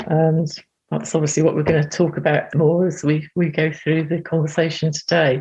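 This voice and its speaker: A woman's fairly low, somewhat breathy voice with a dark, mellow tone. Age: 60s. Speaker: artist and psychotherapist. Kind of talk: interview.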